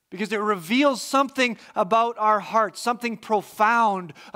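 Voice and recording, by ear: Someone is reading aloud in a natural voice, keeping a fairly even intonation.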